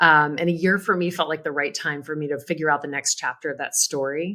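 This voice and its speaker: A woman's very deep, low voice with a bright, sharp tone at a very fast pace. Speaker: charity auctioneer, agency founder, keynote speaker, author. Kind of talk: podcast interview answer. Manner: conversational, reflective.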